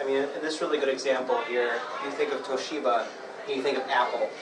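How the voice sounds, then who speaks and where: A man talks at a fairly quick pace and medium pitch, with fairly even intonation. Noticeable background noise and audible room echo are present. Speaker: marketing professional. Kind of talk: presentation. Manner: quiet.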